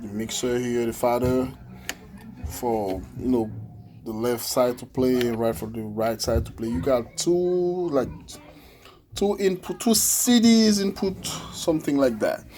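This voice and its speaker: Speech with an Ivorian accent moves at a fairly slow pace with lively intonation. Long pauses come often. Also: man. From Ivory Coast. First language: French. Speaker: musician demonstrating a keyboard. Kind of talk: product demo tutorial. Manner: halting, many fillers.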